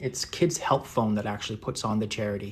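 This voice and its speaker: Somewhat breathy and relaxed in tone, a man speaks at a moderate pace. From northeast England. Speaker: artist. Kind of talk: live painting tutorial and chat. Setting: livestream. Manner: relaxed, many fillers.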